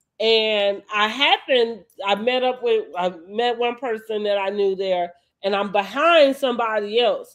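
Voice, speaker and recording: This woman talks at a fairly slow pace in a fairly high pitch with ordinary pitch variation. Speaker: reality TV commentary podcaster. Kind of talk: casual chat. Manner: loud.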